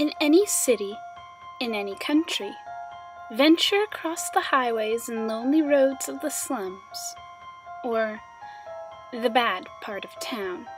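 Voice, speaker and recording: Over music in the background, a woman speaks at a fairly slow pace and a high pitch, with very wide pitch swings, big swings in loudness and long, frequent pauses. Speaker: creepypasta narrator. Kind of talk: horror story narration. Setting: music background.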